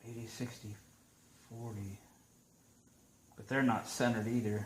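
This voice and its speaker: Somewhat breathy, a man talks with monotone, flat intonation. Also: medium pitch for a man, moderate pace. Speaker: DIY tool reviewer. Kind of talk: tutorial. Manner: mumbling.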